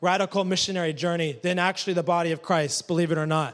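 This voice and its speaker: A man speaks at a fairly quick pace in a high voice. The recording is very clean, with a silent background. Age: 30s. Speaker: missionary preacher. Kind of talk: sermon. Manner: animated.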